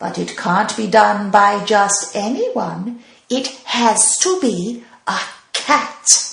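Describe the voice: This is plain reading aloud. Its intonation is lively.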